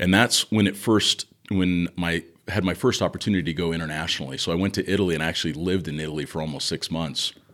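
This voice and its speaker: A man with an American accent talks at a very fast pace. His pitch is very deep and low. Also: ordinary pitch variation. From Southern California. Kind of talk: casual interview chat.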